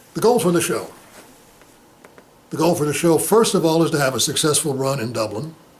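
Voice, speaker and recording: Amid noticeable background noise and audible room echo, a man speaks at a fairly quick pace with lively intonation and long, frequent pauses. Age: 60s. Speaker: playwright and actor. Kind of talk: interview.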